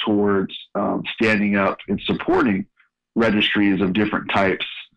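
This man has a fairly low pitch. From Northern California, San Francisco Bay Area. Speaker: health investment firm co-founder. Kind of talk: interview. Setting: radio show.

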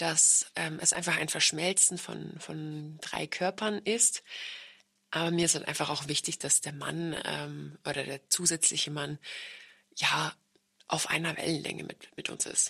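Speaking at a fairly slow pace, a woman uses a very deep, low pitch with vocal fry, fairly even intonation and a bright, sharp tone. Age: 30s. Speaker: podcast host. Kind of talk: casual chat.

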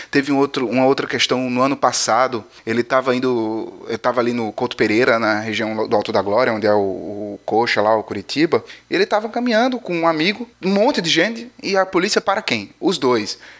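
This man talks at a fairly quick pace with hardly any pauses, his medium pitch swinging very widely. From Paraíba, northeastern Brazil. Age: 30s. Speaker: podcast host. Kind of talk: news podcast, casual monologue. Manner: animated.

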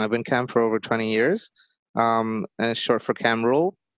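A moderate pace in a Bengali accent. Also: man. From Bangladesh. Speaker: podcast host. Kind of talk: interview.

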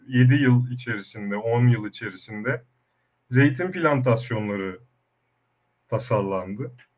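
Very slow in pace, a man's speech holds ordinary pitch variation. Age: young. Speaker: olive oil producer, former food engineer. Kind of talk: online panel discussion.

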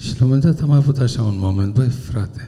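The voice is dark and mellow, somewhat breathy, fairly slow and of ordinary pitch variation, with audible room echo. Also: man. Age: 70s. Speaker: university professor. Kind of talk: public talk. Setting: stage with audience.

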